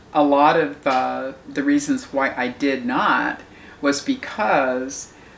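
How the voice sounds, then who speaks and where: A woman talks very slowly, with noticeable noise behind her. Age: 70s. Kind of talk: interview answer.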